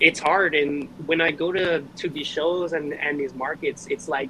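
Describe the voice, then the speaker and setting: Noticeable background noise runs behind this recording. A man with an American accent speaks at a moderate pace and a fairly high pitch. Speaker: reptile breeder and seller. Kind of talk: casual chat. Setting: live stream.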